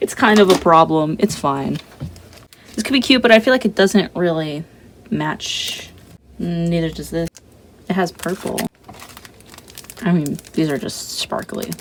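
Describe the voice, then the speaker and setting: Through noticeable background noise, a high-pitched man speaks fairly slowly with lively intonation and long, frequent pauses. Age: 20s. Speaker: artist vlogger. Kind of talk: casual chat while drawing. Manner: casual, rambling slangy speech.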